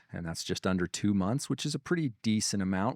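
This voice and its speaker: This man has a fairly low pitch and an Idaho accent, and he talks at a very fast pace. The recording is very clean with a silent background, and the sound is dry and close with no echo. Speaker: real estate software presenter. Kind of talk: product demo conversation. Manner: casual, repetitive restarts.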